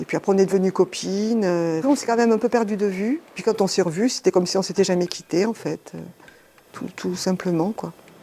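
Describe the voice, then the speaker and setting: A woman's medium-pitched voice moves fairly quickly, varying in pitch in an ordinary way. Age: 60s. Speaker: shop partner, former clothing retail worker. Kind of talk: documentary interview. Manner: hesitant, many fillers.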